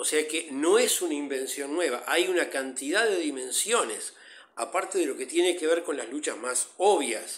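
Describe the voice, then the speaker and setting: A man's voice rides high in pitch, his intonation lively and his speed moderate. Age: 60s. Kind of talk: interview.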